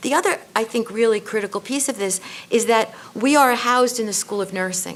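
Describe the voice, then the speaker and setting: Noticeable background noise sits under the recording. A woman with a New York accent talks at a fairly quick pace. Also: ordinary pitch variation. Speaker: nursing school dean on a panel. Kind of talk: panel discussion. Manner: halting, many fillers.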